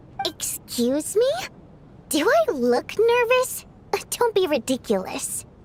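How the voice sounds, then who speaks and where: Putting on a character voice, a woman speaks at an extremely high pitch with very wide pitch swings. Her pace is fairly slow, with long, frequent pauses. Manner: indignant, defensive.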